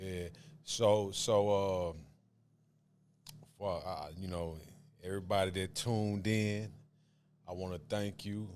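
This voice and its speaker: A man's very deep, low voice in a Southern US accent, monotone and flat, very slow with long, frequent pauses, with audible room echo. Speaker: podcast host. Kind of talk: casual chat.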